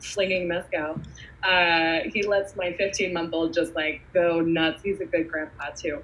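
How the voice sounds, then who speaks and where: A woman speaks in an ordinary speaking voice with an American accent. Her pitch is fairly low, and her pace is fairly slow. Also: fairly even intonation. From New York, Hudson Valley. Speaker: spirits brand ambassador. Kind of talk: casual chat.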